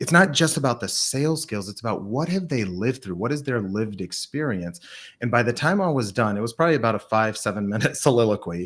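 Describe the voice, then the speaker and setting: A man with an ordinary speaking voice, lively intonation, and a fairly quick pace in a very clean recording with a silent background. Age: 40s. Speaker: sales leader and author. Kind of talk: podcast interview.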